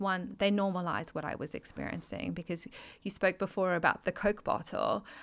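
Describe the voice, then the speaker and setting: Speaking at a moderate pace, a woman with an Australian accent and medium pitch shows vocal fry on a very clean recording with a silent background. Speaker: mental health advocate and founder. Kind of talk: interview testimony. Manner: halting.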